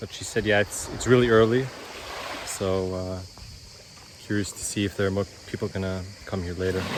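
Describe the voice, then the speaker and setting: Against noticeable background noise, a man with a very deep, low pitch speaks at a fairly quick pace with fairly even intonation, broken by long, frequent pauses. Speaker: travel vlogger. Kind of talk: casual travel vlog narration. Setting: outdoors on a beach. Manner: hesitant, many fillers.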